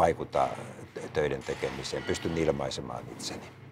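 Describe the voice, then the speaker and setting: With noticeable noise in the background, a man talks at a moderate pace. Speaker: politician. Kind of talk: interview answer. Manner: repeats words to get going.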